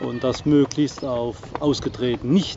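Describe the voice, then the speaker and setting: With clear music in the background, a man's voice comes through dry, with no echo. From southern Palatinate, southwest Germany; Germany. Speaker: vlogger, sailboat owner; vlogger. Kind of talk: casual vlog talk to camera. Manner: hesitant, many fillers. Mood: relaxed, friendly. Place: open country. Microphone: phone near.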